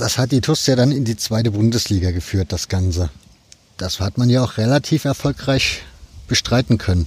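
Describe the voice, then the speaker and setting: This man speaks at medium pitch with lively intonation. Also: moderate pace. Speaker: podcast host. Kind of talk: casual interview. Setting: outdoors at stadium.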